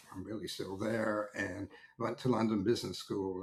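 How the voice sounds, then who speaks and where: Speaking very fast with an American accent, a man with a fairly low pitch sounds somewhat breathy. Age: 70s. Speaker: technology market analyst. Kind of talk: interview conversation. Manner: hesitant, many fillers and restarts.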